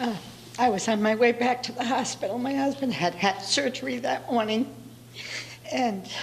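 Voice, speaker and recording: A woman's high-pitched voice amid noticeable background noise and audible room echo. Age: 70s. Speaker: defendant in traffic court. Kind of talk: courtroom testimony. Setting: courtroom. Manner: halting.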